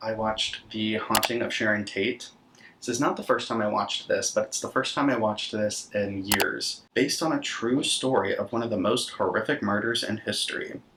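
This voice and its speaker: A man in an ordinary speaking voice talks at a medium pitch and a moderate pace, with hardly any pauses. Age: 20s. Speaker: horror content creator and podcaster. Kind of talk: casual talk to camera, film recap.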